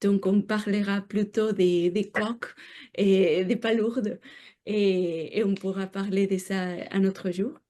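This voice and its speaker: Against a quiet background, a woman with a dark, mellow tone talks at a very slow pace, her medium-pitched voice following fairly even intonation. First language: not French (speaking French). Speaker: researcher. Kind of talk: lecture. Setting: seminar room with audience. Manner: halting, many hesitations.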